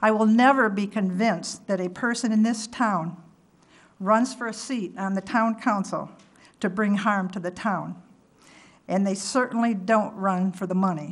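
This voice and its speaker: A somewhat breathy woman speaks at medium pitch and a moderate pace with fairly even intonation. Room echo is audible. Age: 70s. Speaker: resident giving public comment. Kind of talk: prepared public comment at council meeting. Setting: town council meeting. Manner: formal.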